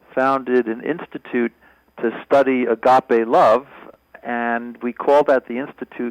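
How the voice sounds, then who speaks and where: Here a man with a plain, everyday voice speaks at a medium pitch and a fairly slow pace, with ordinary pitch variation, in a dry, close sound with no echo. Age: 60s. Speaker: professor. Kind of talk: testimony.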